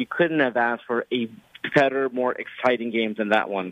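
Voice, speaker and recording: A man's normal speaking voice with an American accent, at a moderate pace with ordinary pitch variation. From Los Angeles. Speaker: sports radio host. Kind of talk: casual chat.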